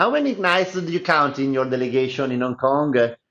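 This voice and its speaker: In an Italian accent, a man with a fairly high pitch speaks at a moderate pace with ordinary pitch variation. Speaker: journalist. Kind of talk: interview.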